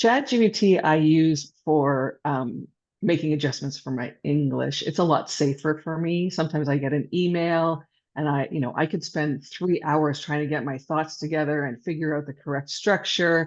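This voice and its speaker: Against a quiet background, a woman talks with a very deep, low pitch. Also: ordinary pitch variation, moderate pace. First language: not English. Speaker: local business owner. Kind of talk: casual chat.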